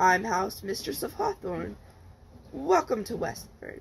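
This put-on character voice is raspy, sitting at a middle pitch. It moves at a fairly slow pace over light background noise. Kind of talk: read-aloud of a book chapter. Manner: hearty, overbearing.

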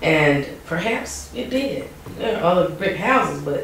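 A woman in a North Carolina accent, fairly low in pitch and fairly slow in pace, with audible room echo. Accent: US Southern (North Carolina). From Wilson, North Carolina. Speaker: oral history interviewee; interviewee. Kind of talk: oral history interview. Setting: museum. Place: office. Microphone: camera far.

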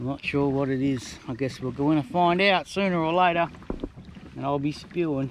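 A man speaks at a moderate pace with ordinary pitch variation, his voice dry with no echo over light background noise. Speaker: solo kayak angler vlogger. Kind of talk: casual vlog chat. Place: boat. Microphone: phone near.

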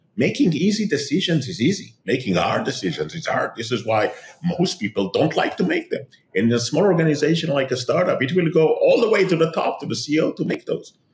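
With audible room echo around him, a man speaks at a fairly quick pace. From Israel. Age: 50s. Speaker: tech entrepreneur and author; guest. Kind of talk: interview. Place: home room. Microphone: webcam.

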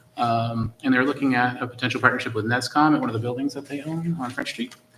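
Through noticeable background noise, a man with a medium pitch speaks with fairly even intonation. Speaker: school committee member. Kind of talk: committee meeting report. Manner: fast.

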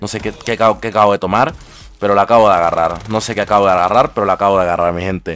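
With music playing in the background, a man with a fairly low pitch speaks at a very fast pace. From Ecuador. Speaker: gaming streamer. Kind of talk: live gameplay commentary. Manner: animated.

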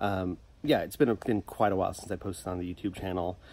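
A man's very deep, low pitch and dark, mellow tone at a very fast pace, with fairly even intonation and light background noise. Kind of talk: casual vlog chat. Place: garden.

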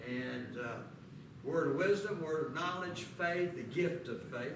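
A man speaks with audible room echo. Noticeable background noise is present. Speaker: preacher teaching a class. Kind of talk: sermon. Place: church. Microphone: camera far.

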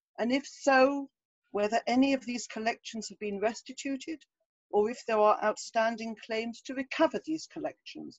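A woman with an English accent speaks at a moderate pace in a fairly high voice, her loudness swinging widely against a quiet background. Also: ordinary pitch variation, dry sound with no echo. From England. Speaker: moderator. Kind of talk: Q&A moderation.

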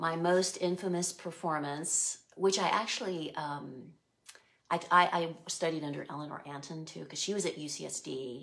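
A woman with an American accent speaks at a fairly slow pace and a fairly low pitch, with fairly even intonation. Her loudness swings widely over a quiet background. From US West Coast, San Diego (Chula Vista); California. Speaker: artist and former art teacher; former art teacher. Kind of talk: interview. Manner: thoughtful. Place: home room.

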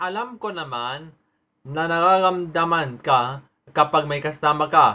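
A man speaks at a fairly slow pace, his loudness swinging widely while his pitch varies in an ordinary way. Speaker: poet. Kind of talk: spoken word poetry.

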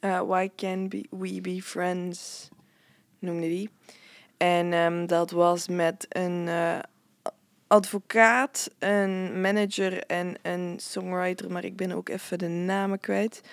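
Speaking very slowly with a Flemish accent, a woman keeps a medium pitch and a flat, monotone delivery on a very clean recording with a silent background. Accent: Flemish Dutch. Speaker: festival-goer and podcast co-presenter. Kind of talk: casual chat.

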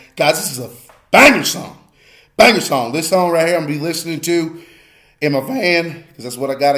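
Fairly quick speech from a man, plus audible room echo. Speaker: music reaction youtuber. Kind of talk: casual reaction commentary. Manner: animated.

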